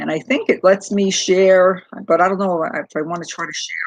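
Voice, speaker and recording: With a Brooklyn accent, a woman speaks fairly slowly at a medium pitch and with fairly even intonation. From New York City, Brooklyn. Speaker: crochet YouTuber. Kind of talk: casual livestream chat. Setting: livestream on laptop. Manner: halting, many fillers.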